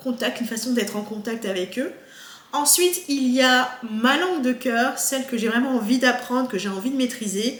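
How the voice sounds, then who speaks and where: Through noticeable background noise, a woman speaks at a high pitch and a moderate pace with ordinary pitch variation. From France, Haitian parents. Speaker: YouTuber and researcher. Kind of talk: casual vlog monologue. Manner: hesitant, many fillers.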